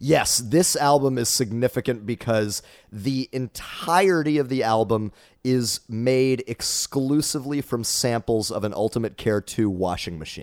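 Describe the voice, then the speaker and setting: In a very clean recording with a silent background and a dry, close sound with no echo, a man with an American accent speaks at a fairly slow pace. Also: medium pitch for a man, ordinary pitch variation. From Dallas, Texas area. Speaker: improvisational musician and comedian. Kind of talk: casual interview chat. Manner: well spoken, jokey.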